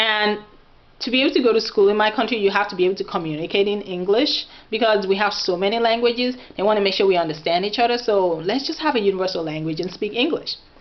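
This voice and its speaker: A woman talks at a very fast pace, her medium pitch showing ordinary variation. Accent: Nigerian. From Nigeria, Oyo State (Yoruba). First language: Yoruba. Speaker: vlogger. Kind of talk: casual vlog talk. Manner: animated.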